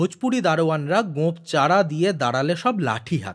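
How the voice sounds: In a very clean recording with a silent background, a man with a fairly high pitch makes big pitch swings at a moderate pace.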